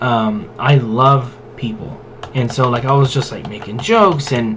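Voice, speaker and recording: Amid noticeable background noise and audible room echo, a man talks at a medium pitch. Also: ordinary pitch variation, fairly slow pace. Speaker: gaming and tabletop content creator. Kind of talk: casual rant while playing a game. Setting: gameplay recording. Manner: loud; casual, filler-heavy.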